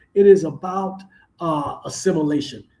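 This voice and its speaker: A man's high-pitched voice with a Southern US accent, at a moderate pace and with lively intonation. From US South. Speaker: podcast host. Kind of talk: live stream commentary. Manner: halting.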